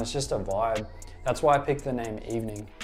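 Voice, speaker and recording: Music plays in the background as a man speaks at medium pitch and a fairly quick pace. His tone is relaxed and his intonation fairly even. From South-West Sydney, Australia. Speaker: skateboarding vlogger and tattoo artist. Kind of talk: interview answer. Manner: casual, relaxed.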